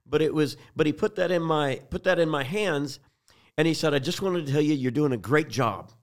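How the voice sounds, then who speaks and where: On a very clean recording with a silent background, a man with a fairly high pitch and ordinary pitch variation speaks at a moderate pace. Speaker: pastor. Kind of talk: sermon-style preaching talk. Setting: studio. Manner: animated, exhortative.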